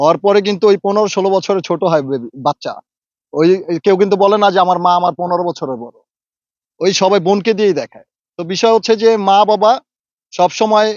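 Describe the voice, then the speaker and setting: A man speaks in a high voice for a man, with ordinary pitch variation. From Bangladesh, Dhaka. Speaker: social media actor. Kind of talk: interview. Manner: halting.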